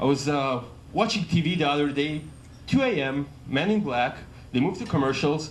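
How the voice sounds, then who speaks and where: Speech comes at a moderate pace in an Israeli accent. Room echo can be heard. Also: man. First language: Hebrew. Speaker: comedian. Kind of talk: stand-up. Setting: stage with audience. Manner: halting.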